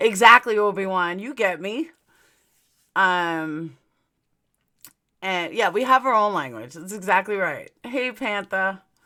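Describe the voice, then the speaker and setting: On a very clean recording with a silent background, a woman with a New York accent speaks at a fairly slow pace in a bright, sharp tone, with big swings in loudness and long, frequent pauses. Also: medium pitch for a woman, lively intonation. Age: 40s. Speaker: true crime YouTuber. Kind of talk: casual live stream chat. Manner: slurred at times from aligners.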